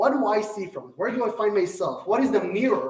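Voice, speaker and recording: Speaking with an Israeli accent, a man with a high pitch is heard with audible room echo. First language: Hebrew. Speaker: Torah teacher. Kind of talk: lecture. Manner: halting.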